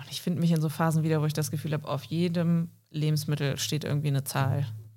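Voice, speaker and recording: On a very clean recording with a silent background, a woman speaks at a fairly quick pace with fairly even intonation. Her voice is somewhat breathy and very deep, low in pitch. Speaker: podcast co-host. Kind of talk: casual chat.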